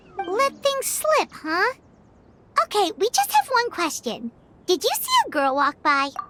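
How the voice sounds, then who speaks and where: Over music in the background, a put-on character voice at an extremely high pitch moves at a fairly slow pace with very wide pitch swings. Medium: video game. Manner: hesitant, stammering.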